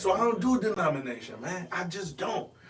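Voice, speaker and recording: Lively intonation marks this man's speech at a moderate pace. Noticeable background noise is present. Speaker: pastor and singer. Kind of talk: casual podcast chat.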